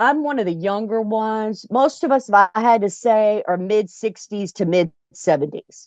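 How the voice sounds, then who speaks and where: A woman uses a normal speaking voice at a fairly high pitch, with ordinary pitch variation, a moderate pace and hardly any pauses, in a dry, close sound with no echo. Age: 60s. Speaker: club founder and RVer. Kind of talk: interview. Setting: RV.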